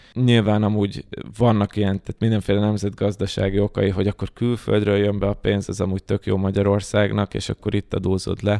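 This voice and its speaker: A man speaks at a fairly quick pace with a fairly low pitch, a dark, mellow tone and monotone, flat intonation. The recording is very clean, with a silent background and a dry, close sound with no echo. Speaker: data science educator. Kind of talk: casual chat.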